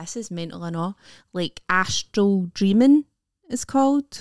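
A woman with a Scottish accent at medium pitch, fairly slow, with long, frequent pauses and big swings in loudness. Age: 30s. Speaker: comedian. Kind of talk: casual chat.

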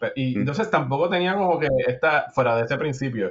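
A man's voice comes out somewhat breathy as he talks fairly quickly. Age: 40s. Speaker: podcast host. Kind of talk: casual chat. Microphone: distant webcam mic, poor fidelity.

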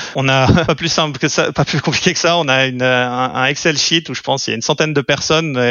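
A man's very fast speech with hardly any pauses and fairly even intonation, over noticeable background noise. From French-speaking Switzerland (Lausanne). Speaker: venture capital investor. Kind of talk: interview. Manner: halting, with repeated words.

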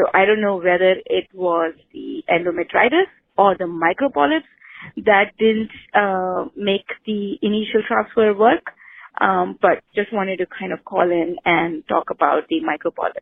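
At a fairly slow pace, a woman of medium pitch speaks in an unremarkable speaking voice with lively intonation. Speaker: caller. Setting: phone call.

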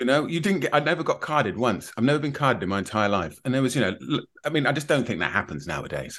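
A man's very fast, nearly pause-free speech at a medium pitch with vocal fry, over a quiet background. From Plymouth, Devon, England. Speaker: comedian. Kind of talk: casual chat over drinks.

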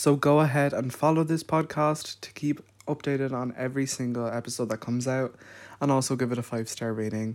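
Over a silent background on a very clean recording, a man holds a medium pitch with fairly even intonation. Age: 20s. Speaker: podcast host. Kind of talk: podcast trailer.

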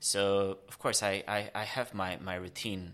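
A man speaks with a Romanian accent in a bright, sharp tone on a very clean recording with a silent background. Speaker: explorer and long-distance cyclist. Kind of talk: casual interview. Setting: in person studio. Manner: halting, many fillers.

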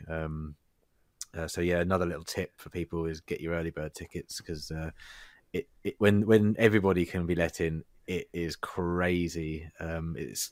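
Recorded very cleanly against a silent background, a man with an English accent speaks at a very deep, low pitch with ordinary pitch variation, the sound dry and close with no echo. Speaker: podcast co-host. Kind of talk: casual chat. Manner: loud.

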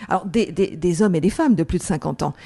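A woman speaks very fast at a fairly low pitch with ordinary pitch variation. Her tone is dark and mellow, over a quiet background. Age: 50s. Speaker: entrepreneur and author. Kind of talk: interview. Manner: halting, frequent repetitions.

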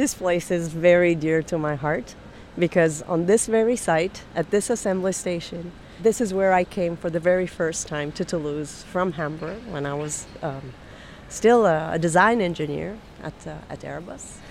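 A woman's fairly low voice with an Italian accent. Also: ordinary pitch variation, moderate pace. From Italy, Milan. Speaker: aerospace executive. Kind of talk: interview.

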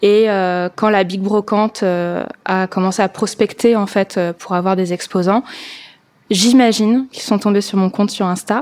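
A woman of medium pitch speaks at a fairly slow pace with fairly even intonation, in a very clean recording with a silent background. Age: 30s. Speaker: vintage shop owner and event organizer. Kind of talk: testimony. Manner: casual with hesitations.

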